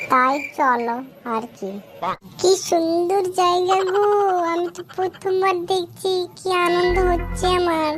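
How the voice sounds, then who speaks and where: Using a cartoonish character voice, a woman speaks at an extremely high pitch and a fairly slow pace over clear background noise. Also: ordinary pitch variation. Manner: sharp-tongued, taunting.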